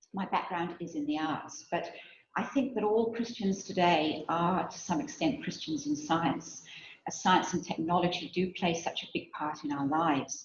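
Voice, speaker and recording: A woman speaks in a fairly low voice. The room echo is audible. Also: lively intonation, moderate pace. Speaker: theology researcher and guest lecturer. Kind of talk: lecture. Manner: soft-spoken; reading from a script.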